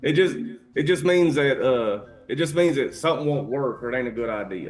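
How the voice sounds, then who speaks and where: A man talks at a fairly quick pace with a Kentucky accent. His pitch is fairly high, and his intonation is lively. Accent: Kentucky Southern. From US South, Eastern Kentucky. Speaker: podcast co-host. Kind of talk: casual chat.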